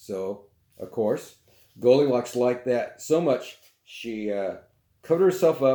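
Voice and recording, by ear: Read aloud in a natural voice with lively intonation. The background is quiet.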